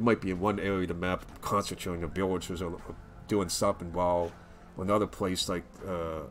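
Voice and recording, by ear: Over faint music in the background, a man with a low pitch talks at a fairly quick pace with little pitch movement.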